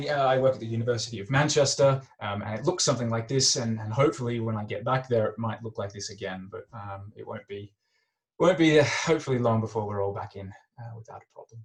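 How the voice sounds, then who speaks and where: A man with an Australian accent talks very fast at a medium pitch, somewhat breathy, with ordinary pitch variation. His loudness swings a lot. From Australia, Melbourne. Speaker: chemistry academic. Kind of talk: lecture. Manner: hesitant, many fillers.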